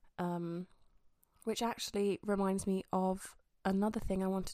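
Her voice is medium in pitch with a dark, mellow tone, and the woman speaks in a monotone, flat way on a very clean recording with a silent background. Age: 20s. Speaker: podcast host. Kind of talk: casual monologue. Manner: chatty, conversational.

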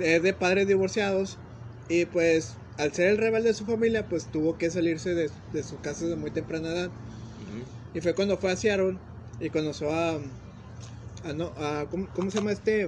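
With long, frequent pauses, a man talks in a high pitch and lively intonation. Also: moderate pace. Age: 20s. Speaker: podcast co-host. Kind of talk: casual chat.

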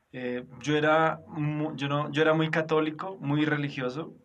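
A man speaks with audible echo from the room. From Colombia, Boyacá. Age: 30s. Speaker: pastor. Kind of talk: interview. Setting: recorded at night.

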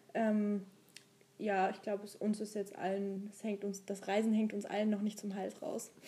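A woman at medium pitch, somewhat breathy with a dark, mellow tone, moderate pace and monotone, flat intonation. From Saxony, Dresden area. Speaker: podcast co-host. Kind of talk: casual chat. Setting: travelling abroad in Thessaloniki.

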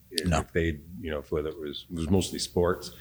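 A man speaks in a very deep, low pitch with a somewhat breathy quality. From Canada, Vancouver. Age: 60s. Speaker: retired community theatre performer. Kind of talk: casual chat. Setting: studio.

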